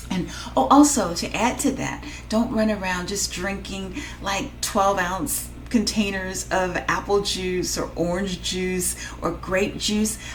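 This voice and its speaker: A woman is speaking very slowly. There is noticeable background noise behind her. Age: 50s. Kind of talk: casual talk to camera. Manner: rambling, hesitant.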